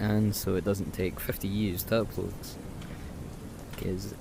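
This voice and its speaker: Soft-spoken, a man talks with fairly even intonation. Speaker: gaming YouTuber. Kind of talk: gameplay commentary. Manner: hesitant, filler-heavy.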